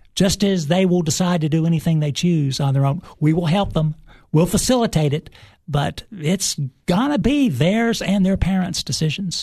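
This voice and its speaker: In a Tennessee accent, a man talks at a moderate pace with high pitch, a dark, mellow tone, lively intonation and very even loudness. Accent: Southern US (Tennessee). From Cookeville, Tennessee. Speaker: high school ROTC instructor, retired army colonel. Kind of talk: interview. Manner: formal, frequent uhs.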